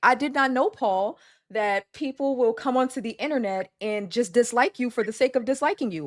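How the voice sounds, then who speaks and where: A woman's high-pitched voice with ordinary pitch variation on a very clean recording with a silent background. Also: dry, close sound with no echo. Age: 20s. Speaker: content creator on weight loss. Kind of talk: interview on live stream. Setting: live stream. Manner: fast with stutters when nervous.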